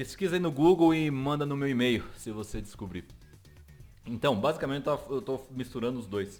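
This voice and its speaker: A man speaks with lively intonation while music plays behind him. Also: medium pitch for a man, moderate pace. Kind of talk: casual, conversational.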